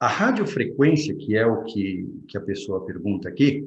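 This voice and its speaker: A somewhat breathy man's voice with very wide pitch swings and audible room echo. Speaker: vascular surgeon. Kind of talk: Q&A talk.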